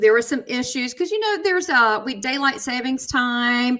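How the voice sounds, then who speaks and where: With a Southern US accent, a woman talks fairly quickly in a high, bright, sharp voice with ordinary pitch variation. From USA. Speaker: psychic medium, talk show host. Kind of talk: casual live chat show talk.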